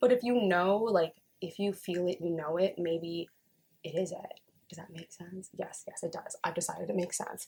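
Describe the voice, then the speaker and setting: A woman speaks in an animated tone at a medium pitch, her voice somewhat breathy, with ordinary pitch variation. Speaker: tarot reader. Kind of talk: casual tarot reading monologue. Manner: fast.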